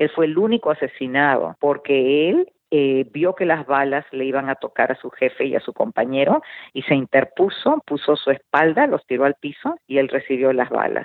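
Her pitch is very deep and low, with ordinary variation. The woman keeps a moderate pace. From Peru (Lima). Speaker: radio and TV host, author, marriage counselor. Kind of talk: interview testimony.

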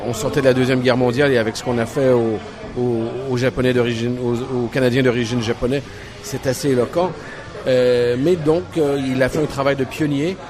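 A man speaks at a moderate pace with a medium pitch. His intonation is fairly even, and background noise is noticeable. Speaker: bookstore owner. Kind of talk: casual chat. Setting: cafe.

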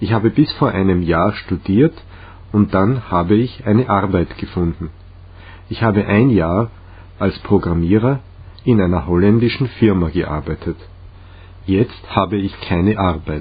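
A man in a Czech accent, fairly low in pitch and somewhat breathy, with ordinary pitch variation, a fairly slow pace and long, frequent pauses. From Czech Republic, Litvínov. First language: Czech (speaking German). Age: 30s. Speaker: language learner. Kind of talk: reading aloud.

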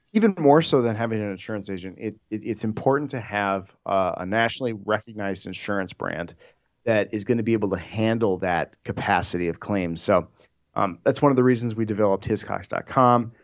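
A man with an unremarkable speaking voice talks at a fairly quick pace, fairly low in pitch with ordinary variation. The background is quiet. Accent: American. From Minnesota, US Midwest. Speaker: insurance underwriter. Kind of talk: interview. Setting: studio.

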